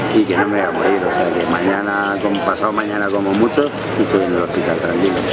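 Over loud background noise, a man speaks at a very fast pace with a fairly low pitch and fairly even intonation, in a dry sound with no echo. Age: 50s. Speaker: activist on hunger strike. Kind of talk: protest statement interview. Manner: halting, many fillers. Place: street. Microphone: phone near.

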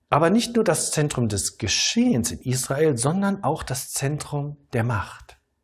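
A calm, somewhat breathy man at a fairly high pitch, fairly slow, with very wide pitch swings and a quiet background. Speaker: pastor. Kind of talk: sermon. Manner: calm, didactic, measured; rhetorical questions, earnest teaching tone. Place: studio. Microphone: lapel.

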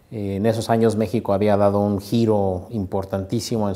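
The voice has a dark, mellow tone. It moves at a moderate pace. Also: man. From Mexico, Morelia (Michoacán); Michoacán, Mexico. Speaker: sociologist and university researcher. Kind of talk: interview. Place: office. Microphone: lapel.

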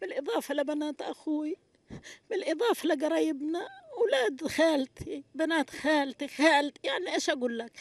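A high-pitched woman's voice with lively intonation, moderate pace and a dry sound with no echo. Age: 60s. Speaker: displaced person, retired UN agency teacher; retired UN agency teacher. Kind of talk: street interview testimony. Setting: outdoors at night in displacement camp. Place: tent. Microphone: handheld.

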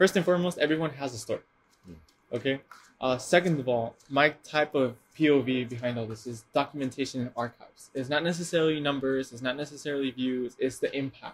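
A somewhat breathy voice at a fairly quick pace, with hardly any pauses, ordinary pitch variation and big swings in loudness. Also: man, fairly high pitch for a man. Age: 20s. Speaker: podcast host. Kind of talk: interview. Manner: animated.

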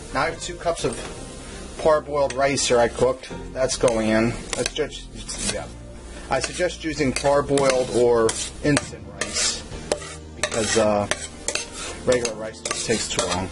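Speaking at a fairly slow pace with long, frequent pauses, a man shows ordinary pitch variation while clear music plays in the background. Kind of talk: cooking tutorial. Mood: relaxed, casual. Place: kitchen. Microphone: camera far.

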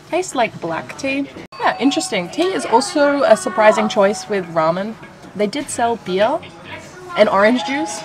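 Clear background music under a woman speaking at a moderate pace. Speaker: food vlogger. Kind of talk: casual vlog chat. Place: cafe. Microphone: phone near.

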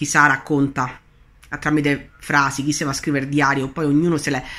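A woman talks at a fairly quick pace in a very deep, low pitch with monotone, flat intonation and long, frequent pauses. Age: 30s. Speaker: spiritual coach; law of attraction coach. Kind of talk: video monologue teaching. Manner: hesitant with fillers. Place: home room. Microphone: phone near.

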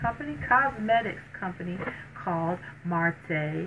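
Noticeable background noise sits behind this woman's voice. She speaks at a fairly slow pace with a fairly low pitch. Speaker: beauty vlogger. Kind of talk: casual vlog chat. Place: home room. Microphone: camera far.

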